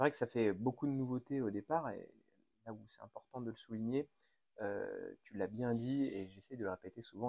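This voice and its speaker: A man speaks in a normal speaking voice at a medium pitch and moderate pace. The sound is dry and close, with no echo. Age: 30s. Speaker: podcast host and mayor. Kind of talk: interview.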